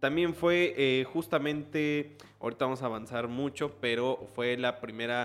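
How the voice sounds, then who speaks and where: Speaking at a fairly slow pace, a man with a medium pitch keeps his intonation fairly even. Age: 20s. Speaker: podcast host and reporter. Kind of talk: casual conversational interview. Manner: hesitant, many fillers.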